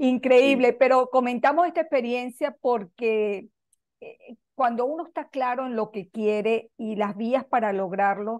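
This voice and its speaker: A woman speaks at a fairly slow pace with a high pitch and ordinary pitch variation. Her loudness swings widely. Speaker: radio show host. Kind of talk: casual conversation.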